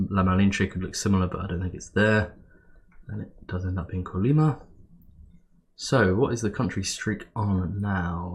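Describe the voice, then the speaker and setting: A man talks with a very deep, low pitch and a somewhat breathy voice. He leaves long, frequent pauses. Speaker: geography game player. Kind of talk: gameplay commentary. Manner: casual, hesitant.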